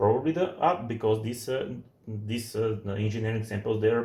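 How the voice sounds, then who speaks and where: A man speaks with a non-native accent. His voice has vocal fry. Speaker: computer hardware user filming a support video. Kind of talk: unedited hands-on demonstration. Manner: halting, many false starts.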